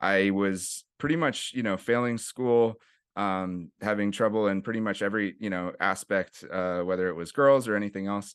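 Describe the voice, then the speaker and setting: A fairly low male voice with a Californian accent, moderate pace and ordinary pitch variation, over a quiet background. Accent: California English. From US West Coast, San Francisco East Bay (Oakland/Berkeley). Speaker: nonprofit executive director, jiu-jitsu coach. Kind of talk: casual interview.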